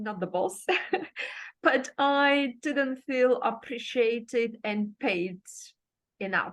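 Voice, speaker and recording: With a Bulgarian accent, a woman speaks at a high pitch and a very slow pace. Her intonation is lively, with long, frequent pauses. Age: 50s. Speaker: life coach. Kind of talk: interview.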